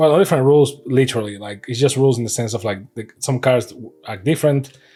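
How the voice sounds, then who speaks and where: A man with a non-native accent over music in the background. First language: not English. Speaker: trading card unboxing youtuber. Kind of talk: casual unboxing commentary. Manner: relaxed, hesitant with fillers.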